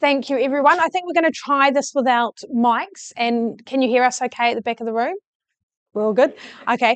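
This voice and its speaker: Over a quiet background, a woman speaks with a high pitch and ordinary pitch variation. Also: fairly quick pace, dry, close sound with no echo. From New Zealand. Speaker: interviewer. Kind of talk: fireside chat interview. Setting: event room with live audience, no mics.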